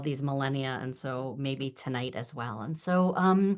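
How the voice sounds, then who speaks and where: Against a quiet background, a woman talks with ordinary pitch variation. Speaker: rabbi teaching a class. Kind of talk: online lecture. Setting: video call. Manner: fast.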